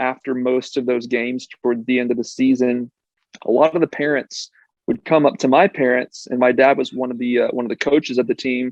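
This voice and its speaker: A man's medium-pitched, normal speaking voice carries fairly even intonation. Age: 30s. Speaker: medical device consultant and patient. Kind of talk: podcast interview. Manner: casual, with frequent fillers.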